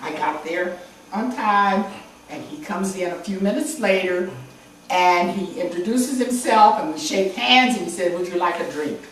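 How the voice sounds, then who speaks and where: With audible room echo and noticeable background noise, a woman in an American accent talks at a moderate pace with a medium pitch and lively intonation. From Chicago, US Midwest. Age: 80s+. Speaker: visual artist. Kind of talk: interview, telling stories of her past.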